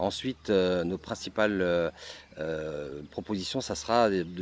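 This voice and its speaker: With ordinary pitch variation, this man talks in a very deep, low voice. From Strasbourg, Alsace, France. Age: 60s. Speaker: election candidate. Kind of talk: campaign speech. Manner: halting, repeats words.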